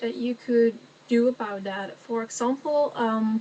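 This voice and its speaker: A woman with a Dutch accent, fairly high-pitched and very slow, over noticeable background noise. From Netherlands. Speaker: vlogger. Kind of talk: casual chat. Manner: halting.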